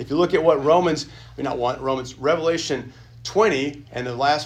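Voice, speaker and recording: Noticeable background noise and audible room echo surround the recording. A man talks at a medium pitch with ordinary pitch variation. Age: 40s. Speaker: pastor teaching a church class. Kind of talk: Sunday school lecture. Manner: halting.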